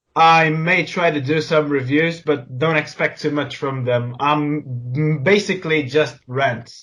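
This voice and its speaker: Speaking very slowly with fairly even intonation, a man has a Portuguese accent. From Portugal. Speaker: podcast co-host, video creator. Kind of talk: casual chat.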